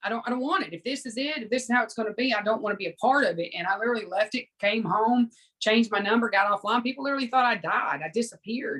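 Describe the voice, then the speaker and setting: Speaking with a Southern US accent, a woman goes at a very fast pace with hardly any pauses, using a fairly high pitch and ordinary pitch variation. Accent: Southern American. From US South. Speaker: spiritual teacher and former fitness competitor. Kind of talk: casual interview chat.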